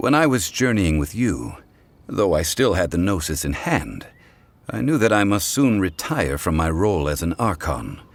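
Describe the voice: In a put-on character voice, a man speaks low for a man at a moderate pace with big pitch swings.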